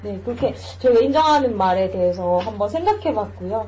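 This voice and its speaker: A woman speaks at a moderate pace. There is noticeable background noise in the clip. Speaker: podcast host. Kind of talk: casual chat.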